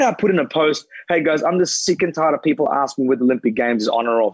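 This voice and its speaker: Very fast, animated speech in an Australian accent, with ordinary pitch variation and a dry, close sound with no echo. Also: man. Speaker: former Olympic athlete and pundit. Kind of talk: casual chat.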